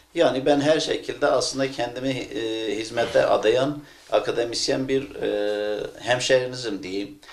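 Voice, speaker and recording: Speaking fairly slowly with a Kurdish accent and hardly any pauses, a man is heard with audible room echo. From Turkey, Hakkari and Van (Kurdish region). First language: Kurdish (speaking Turkish). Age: 40s. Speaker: academic and political candidate. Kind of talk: interview. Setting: at home. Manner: hesitant, many filler sounds.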